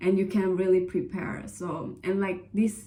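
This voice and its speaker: Someone with an Indonesian accent speaks at a very slow pace, with audible room echo. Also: woman. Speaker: vlogger, scholarship applicant. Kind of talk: casual advice vlog. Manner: hesitant, many fillers.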